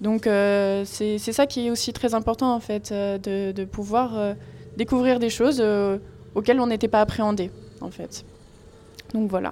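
In a fairly high voice with fairly even intonation, a woman talks at a fairly slow pace with long, frequent pauses. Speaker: university student. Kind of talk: radio interview.

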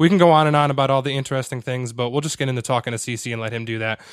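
Speaking at a very fast pace with an American accent, a man uses ordinary pitch variation on a very clean recording with a silent background. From Connecticut, US. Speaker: podcast host and copywriter. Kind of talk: podcast interview.

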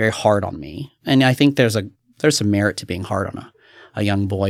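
An American-accented man with an unremarkable speaking voice talks at a fairly quick pace and a fairly low pitch in a very clean recording with a silent background. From US South. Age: 30s. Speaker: youth pastor. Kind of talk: testimony.

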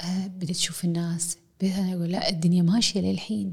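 At a very fast pace, a woman talks in a somewhat breathy voice. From Kuwait. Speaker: university professor. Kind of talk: casual chat. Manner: mixes English and Arabic.

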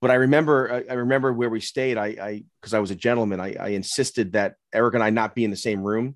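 A man of medium pitch speaks at a very fast pace with hardly any pauses and fairly even intonation. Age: 50s. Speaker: podcast co-host. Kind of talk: casual chat.

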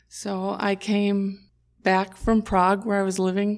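Her pitch sits in the medium range for a woman. The intonation stays monotone and flat. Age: 60s. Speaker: nurse. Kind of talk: casual chat.

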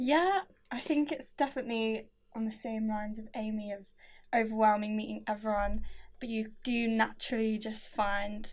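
A woman talks in a plain, everyday voice. Her pace is moderate and her intonation fairly even. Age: 20s. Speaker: undergraduate education student. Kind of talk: casual chat.

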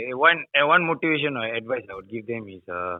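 Delivered at a fairly quick pace, this is an unremarkable speaking voice. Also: man. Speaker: fitness coach. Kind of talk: casual chat. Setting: phone call.

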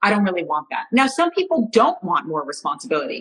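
At a fairly quick pace, a woman with an American accent talks in an unremarkable speaking voice. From United States. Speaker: astrologer. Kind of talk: casual chat. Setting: live video stream.

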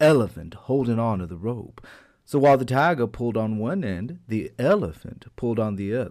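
Pitch varies in an ordinary way as someone reads aloud in a natural voice.

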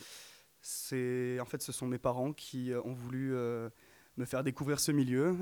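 On a very clean recording with a silent background and dry, close sound without echo, an ordinary speaking voice moves at a fairly slow pace with fairly even intonation. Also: man. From Provence, France. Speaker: singer, music student. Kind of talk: radio interview. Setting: studio.

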